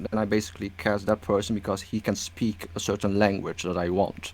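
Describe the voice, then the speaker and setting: A man talks at a moderate pace. Behind his voice, music is playing. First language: Dutch and Cantonese. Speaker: stop-motion animator. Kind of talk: interview. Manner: halting.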